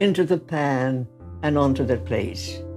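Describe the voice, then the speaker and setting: A woman speaks at a very slow pace. Music plays behind her. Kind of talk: interview answer.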